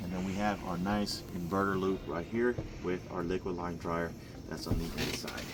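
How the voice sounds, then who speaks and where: A man speaks at a moderate pace in a very deep, low voice over noticeable background noise. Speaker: HVAC contractor presenting installation video. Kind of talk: on-site tutorial walkthrough.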